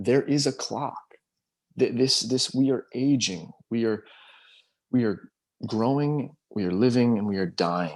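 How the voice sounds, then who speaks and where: The speaker is soft-spoken and goes at a fairly slow pace, with ordinary pitch variation. Long pauses come often. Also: man, medium pitch for a man. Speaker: spiritual discussion group host. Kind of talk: group video call discussion. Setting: video call. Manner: halting, many repetitions.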